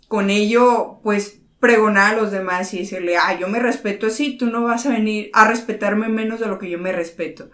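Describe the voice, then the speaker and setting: A woman's fairly high voice, moderate in pace and fairly even in intonation, with audible room echo. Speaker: podcast co-host. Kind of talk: casual chat.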